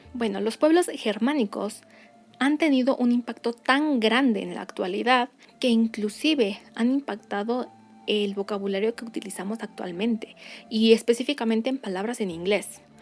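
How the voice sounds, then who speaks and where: Background music can be heard. Over it, a woman speaks at a moderate pace. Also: fairly high pitch for a woman, ordinary pitch variation. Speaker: educational youtuber on Norse culture. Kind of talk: educational talk to camera.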